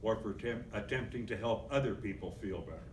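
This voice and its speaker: A man's voice with audible room echo. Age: 70s. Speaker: political activist. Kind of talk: convention speech.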